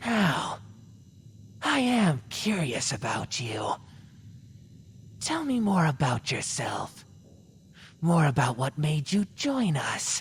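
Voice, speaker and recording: A man uses a put-on character voice, pitched fairly high and swinging very widely up and down, at a very slow pace. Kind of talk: ASMR character roleplay. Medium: solo performance. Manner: cold and menacing.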